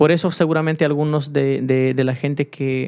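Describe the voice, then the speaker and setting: Fairly slow male speech in a fairly high register. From Peru. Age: 30s. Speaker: cumbia musician; youtuber. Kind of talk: personal vlog. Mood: serious, subdued. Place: home room. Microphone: studio mic.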